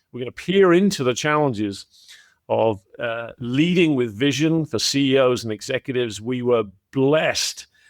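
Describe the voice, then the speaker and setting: Recorded very cleanly against a silent background, a man with an American accent talks at a moderate pace in a dry, close sound with no echo. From England. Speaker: podcast host, former CEO. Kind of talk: casual interview chat. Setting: podcast recording.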